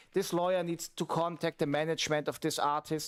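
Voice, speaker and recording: A man speaks with a German accent. His pitch is high. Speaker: streamer and music producer. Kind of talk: casual livestream chat. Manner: halting, with fillers.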